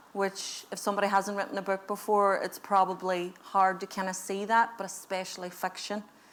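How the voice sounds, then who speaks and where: Speaking at a fairly quick pace, a woman delivers her words in a monotone, flat intonation at a medium pitch. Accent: Northern Irish. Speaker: author and comedy sketch creator. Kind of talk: interview conversation before audience. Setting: library event, live streamed.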